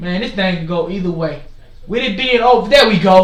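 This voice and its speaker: Loud and high-pitched, a man talks with ordinary pitch variation over noticeable background noise and audible room echo. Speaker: forex trading streamer. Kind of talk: live market commentary. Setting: livestream. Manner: animated.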